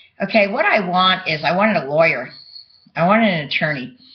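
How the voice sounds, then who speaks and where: The intonation is lively. The speaker has a New York accent. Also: woman. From New York (Bronx). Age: 60s. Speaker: vlogger. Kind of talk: personal monologue to webcam. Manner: halting.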